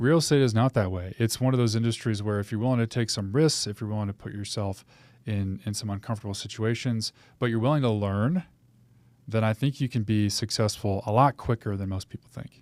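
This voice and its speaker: A man with an American accent talks at a fairly quick pace in a normal speaking voice, medium in pitch with ordinary pitch variation, recorded dry and close with no echo on a very clean recording with a silent background. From US Pacific Northwest. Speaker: realtor, former military pilot. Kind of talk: interview. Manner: casual.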